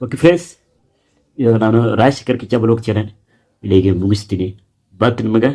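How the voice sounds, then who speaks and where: Dark, mellow tone from a man, pitched in the middle range. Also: ordinary pitch variation. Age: 30s. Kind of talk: personal vlog, life story. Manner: halting.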